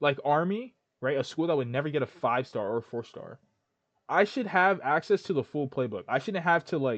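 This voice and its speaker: Heard in a dry, close recording with no echo, the speaker talks at a fairly quick pace with lively intonation. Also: man, fairly high pitch for a man. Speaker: gaming commentator. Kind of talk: casual commentary. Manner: fast; animated.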